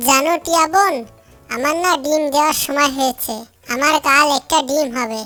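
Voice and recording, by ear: Over faint music in the background, a woman performs a high-pitched, cartoonish character voice. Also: moderate pace.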